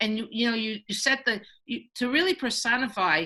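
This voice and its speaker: Fairly quick in pace, the voice has a bright, sharp tone. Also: woman. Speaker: children's book author. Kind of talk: panel presentation. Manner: fast; animated.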